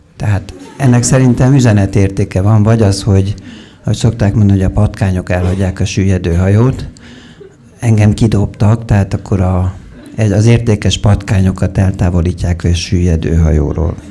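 Over light background noise, a man with an ordinary speaking voice talks at a moderate pace, fairly low in pitch, with fairly even intonation and very even loudness. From Hungary. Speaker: psychologist and author; lecturer. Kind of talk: lecture. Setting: stage with audience. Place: stage. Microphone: handheld.

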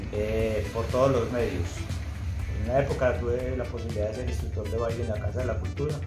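With clear music in the background, a man talks at a fairly quick pace. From Colombia, Antioquia (Envigado). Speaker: DJ and cultural promoter. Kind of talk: interview answer. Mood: warm and nostalgic. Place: home room. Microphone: phone near.

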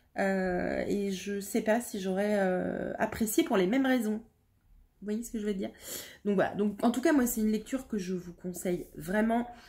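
Fairly high-pitched woman's voice, somewhat breathy with a dark, mellow tone, at a moderate pace in a very clean recording with a silent background. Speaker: book youtuber. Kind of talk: book review monologue. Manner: hesitant, many fillers.

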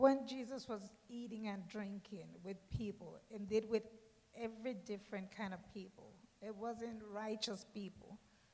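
A woman's dark, mellow, somewhat breathy voice at a fairly slow pace, with fairly even intonation and big swings in loudness. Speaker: congregation member. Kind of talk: testimony. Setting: church.

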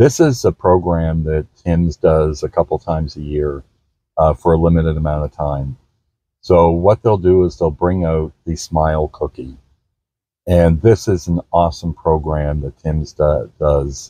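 A man speaks with a very deep, low pitch and fairly even intonation at a moderate pace. The sound is dry with no echo, over a quiet background. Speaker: grandfather vlogger. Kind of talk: casual vlog chat.

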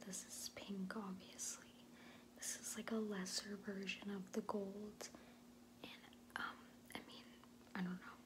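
Soft-spoken and bored in tone, a woman talks at a fairly slow pace with noticeable background noise. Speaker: beauty vlogger. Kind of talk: casual product review chat. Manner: soft, close ASMR voice, bored and sassy. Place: home room. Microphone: phone near.

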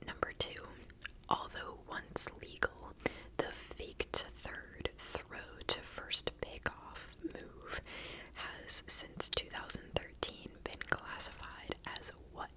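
Whispering comes from a female speaker. The pace is very slow. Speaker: quiz host. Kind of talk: reading trivia questions with casual comments. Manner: soft close-mic ASMR murmur. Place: home room. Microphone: studio mic.

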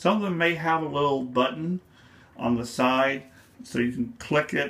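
The pace is moderate. This man's pitch moves in an ordinary way. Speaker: photography hobbyist. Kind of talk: tutorial explanation to camera. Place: home room.

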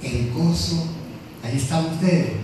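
Amid strong room echo and noticeable background noise, someone speaks at a very slow pace with lively intonation. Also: man. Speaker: preacher. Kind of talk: sermon. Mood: warm, affectionate. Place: church.

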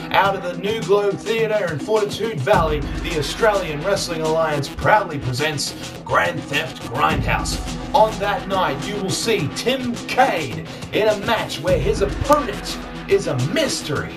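A man speaking at a fairly slow pace over clear music in the background. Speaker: wrestling ring announcer. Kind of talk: wrestling event promo. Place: home room. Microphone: phone near.

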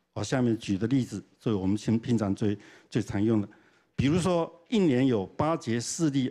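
Over a quiet background, a man speaks at a moderate pace with a dark, mellow tone. His intonation is lively. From Taiwan, Changhua; Taiwan. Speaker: professor. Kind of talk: lecture. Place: hall. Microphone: handheld.

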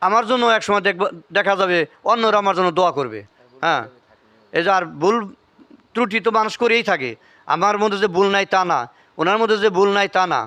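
Using a raised, projected voice, a man speaks at a high pitch with a bright, sharp tone, very even loudness and ordinary pitch variation. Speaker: family history video blogger. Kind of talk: casual interview with elderly relative; religious talk.

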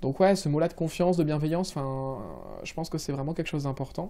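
Over a quiet background, the voice has a dark, mellow tone and ordinary pitch variation. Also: man. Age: 20s. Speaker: civil servant project manager; interviewee. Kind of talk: interview; interview answer. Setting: office. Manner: hesitant, many fillers. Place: office.

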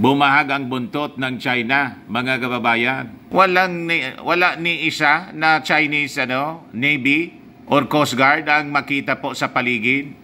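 A man speaks at a fairly slow pace and a medium pitch, with ordinary pitch variation. His tone is bright and sharp.

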